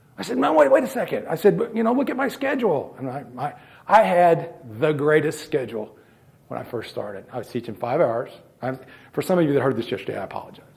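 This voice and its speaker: A man talks at a very fast pace with a fairly high pitch and very wide pitch swings. There is vocal fry in his voice. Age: 60s. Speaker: former math teacher and coach trainer. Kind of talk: presentation to coaches. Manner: halting, repeats words.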